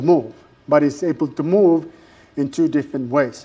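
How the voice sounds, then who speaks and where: A man's fairly high voice with a dark, mellow tone, a strong non-native accent, ordinary pitch variation, and a moderate pace. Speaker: university lecturer. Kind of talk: lecture. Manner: halting, many fillers.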